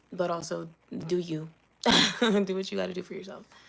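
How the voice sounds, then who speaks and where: Vocal fry runs through a woman's fairly low voice as she speaks at a fairly slow pace. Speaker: streamer. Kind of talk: livestream chat. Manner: halting, many fillers; casual.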